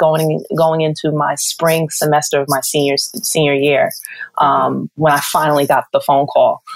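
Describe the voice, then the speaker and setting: Very deep, low pitch from a woman at a moderate pace, fairly even intonation and noticeable background noise. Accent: American. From New York. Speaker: TV sports producer. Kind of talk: interview. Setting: podcast.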